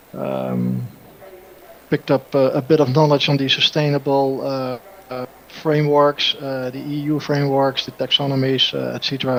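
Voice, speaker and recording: Noticeable background noise surrounds a man speaking at a moderate pace. His medium-pitched voice is flat and monotone. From Netherlands. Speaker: energy engineer, panelist. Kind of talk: casual chat. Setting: remote call. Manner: halting.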